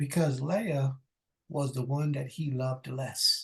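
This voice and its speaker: At a very slow pace, a man speaks somewhat breathily at a fairly high pitch with ordinary pitch variation. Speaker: preacher. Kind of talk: sermon. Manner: halting.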